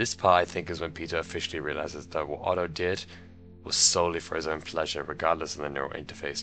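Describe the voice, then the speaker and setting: A man talks at a very fast pace with a very deep, low pitch and flat, monotone intonation while music plays in the background. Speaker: video essayist. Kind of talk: video essay commentary.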